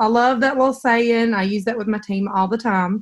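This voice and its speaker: A woman with a Southern accent talks at a moderate pace, her fairly high pitch carrying fairly even intonation. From US South, Mississippi. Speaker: direct sales director. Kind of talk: online training call.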